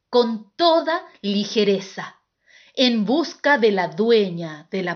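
Over a quiet background, the speaker reads aloud plainly with lively intonation.

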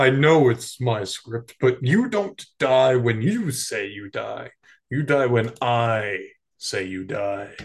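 Speaking very slowly, a man uses lively intonation at a medium pitch. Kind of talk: improvised comic movie dub. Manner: grandiose, domineering.

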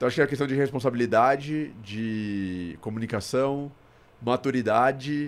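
A man with an ordinary speaking voice talks at a medium pitch with ordinary pitch variation on a very clean recording with a silent background. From Brazil, São Paulo. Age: 30s. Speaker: investment platform founder. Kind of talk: podcast interview. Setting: studio.

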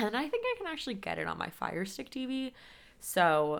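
This is a woman speaking with an American accent. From California, San Diego. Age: 20s. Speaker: podcast host. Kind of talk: casual solo podcast talk. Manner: chatty, filler-heavy.

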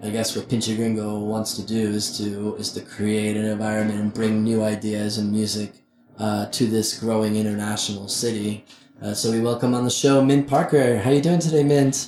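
With music in the background, a man speaks at a moderate pace in a fairly low pitch. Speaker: podcast co-host. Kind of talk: casual chat. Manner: animated.

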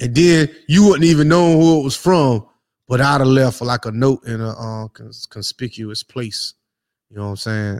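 A man talks at a moderate pace with medium pitch and ordinary pitch variation. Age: 40s. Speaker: podcast co-host. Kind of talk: casual chat. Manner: animated.

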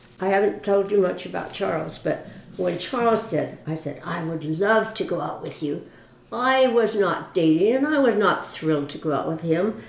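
A woman with an American accent talks at a moderate pace, her medium-pitched voice lively in intonation. Room echo and background noise are both noticeable. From US West Coast, Mountain View, California. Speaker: church member. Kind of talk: interview.

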